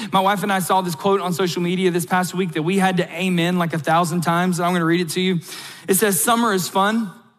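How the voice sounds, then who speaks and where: With noticeable background noise, a speaker with an American accent talks at a very fast pace. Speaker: pastor. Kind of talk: sermon.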